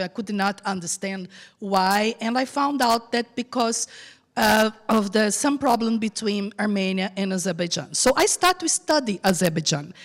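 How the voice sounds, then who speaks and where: A woman's fairly high voice in a Brazilian accent at a moderate pace. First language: Portuguese. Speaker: journalist. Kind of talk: panel discussion; reading aloud. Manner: halting.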